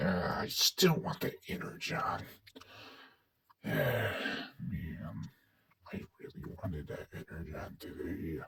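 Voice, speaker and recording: Using a put-on character voice, a man speaks raspily at a very slow pace with long, frequent pauses. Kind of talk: fan-made character voice skit.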